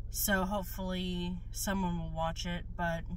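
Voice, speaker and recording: Light background noise sits behind a woman's voice, which sounds dry with no echo. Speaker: new vlogger. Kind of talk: casual vlog chat. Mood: calm, earnest, slightly hesitant. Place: car. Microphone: phone near.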